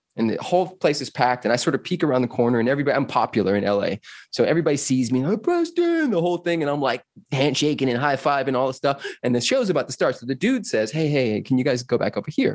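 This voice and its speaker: A man at medium pitch with a Californian accent, animated in tone and very fast in pace. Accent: Californian American English. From Los Angeles, US West Coast. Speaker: personal freedom coach. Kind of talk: casual interview chat.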